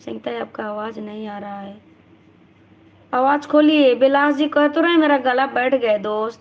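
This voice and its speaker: A woman's voice with ordinary pitch variation. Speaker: live-stream vlogger. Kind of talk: casual live-stream chat reading comments. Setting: live stream.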